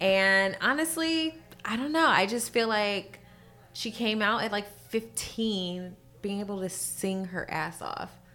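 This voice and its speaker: A woman with a Californian accent speaks at a very slow pace. Her medium pitch carries lively intonation. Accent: Californian American English. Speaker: singer and entertainer. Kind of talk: casual chat.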